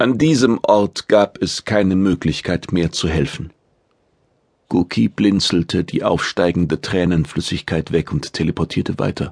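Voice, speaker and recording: In a dry, close recording with no echo, a man with a very deep, low voice speaks at a fairly slow pace with ordinary pitch variation. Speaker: audiobook narrator. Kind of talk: dramatic audiobook narration of sci-fi action, reading aloud. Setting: studio.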